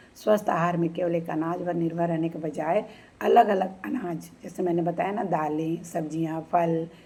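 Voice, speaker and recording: A woman's fairly even intonation with hardly any pauses over noticeable background noise. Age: 60s. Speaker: retired bank employee giving health tips. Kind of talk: informal health talk to camera.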